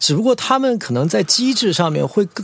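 Against noticeable background noise, a man speaks at a high pitch with very wide pitch swings. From Guangzhou, China (raised in a military compound, Mandarin-speaking). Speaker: bar owner and brand businessman. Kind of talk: casual interview chat.

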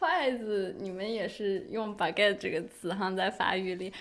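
In a very clean recording with a silent background, a woman speaks at a fairly slow pace with ordinary pitch variation and an ordinary speaking voice. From Inner Mongolia, China. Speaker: podcast host. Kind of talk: casual chat.

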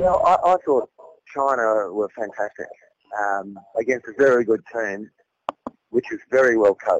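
Delivered in an Australian accent, the speech moves at a fairly slow pace with lively intonation and long, frequent pauses. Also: man, medium pitch for a man, dry, close sound with no echo. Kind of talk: phone interview. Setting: phone call.

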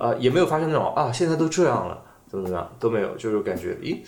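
Noticeable background noise and audible room echo surround a man whose fairly high voice swings very widely in pitch. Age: middle-aged. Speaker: film podcast co-host. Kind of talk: casual chat.

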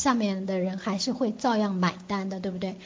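A woman in an ordinary speaking voice, at a moderate pace with fairly even intonation. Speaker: English test prep teacher. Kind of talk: online lecture. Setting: online class.

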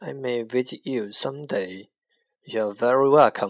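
A man at a very slow pace on a very clean recording with a silent background. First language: Mandarin Chinese. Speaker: English teacher podcaster. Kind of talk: language lesson. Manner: slow, repetitive drilling.

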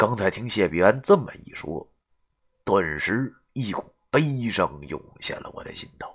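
A quiet background behind a passage read aloud in a natural voice

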